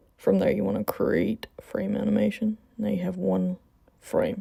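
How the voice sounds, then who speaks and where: Noticeable background noise runs through the clip. The voice keeps a fairly slow pace. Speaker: graphic design tutorial maker. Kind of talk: software tutorial voice-over. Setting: recorded at work.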